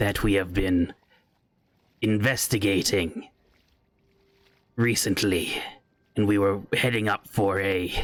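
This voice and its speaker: Using a put-on character voice, a man speaks in a raspy, fairly low, monotone, flat delivery at a fairly slow pace with long, frequent pauses. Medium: actual play. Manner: guarded, evasive, mocking.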